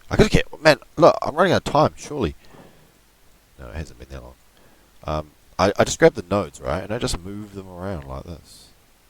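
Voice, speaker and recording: A man talks fairly quickly at a fairly low pitch, with vocal fry, very wide pitch swings and big swings in loudness. Long, frequent pauses break it up, and the sound is dry and close with no echo. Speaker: amateur digital artist tutorial youtuber. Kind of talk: screen-recorded software tutorial. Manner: casual, rambling with frequent fillers and swearing.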